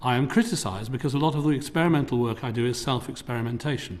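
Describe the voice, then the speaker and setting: Speaking very fast, a man uses an English accent. His pitch is medium, with ordinary variation. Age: 60s. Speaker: tech entrepreneur. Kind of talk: formal presentation. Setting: parliamentary committee hearing. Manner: formal.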